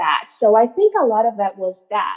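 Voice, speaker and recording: A woman with a Spanish accent speaks at a fairly high pitch. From Venezuela, San Francisco near Colombian border. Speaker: mental health counselor. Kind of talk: podcast interview. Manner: conversational, many fillers and repetitions.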